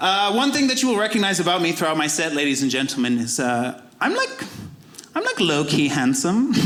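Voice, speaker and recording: A high-pitched man with a Zimbabwean accent talks at a fairly quick pace with very wide pitch swings and very even loudness, amid noticeable background noise and audible room echo. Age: 20s. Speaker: comedian. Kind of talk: stand-up.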